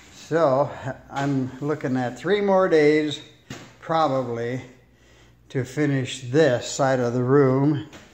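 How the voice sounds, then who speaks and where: Speaking very slowly with long, frequent pauses, a man with a fairly high pitch keeps his intonation fairly even amid audible room echo. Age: 70s. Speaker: DIY home renovator, airplane mechanic. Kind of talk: casual tutorial. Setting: at home, laying tile in a room. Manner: relaxed, halting with fillers.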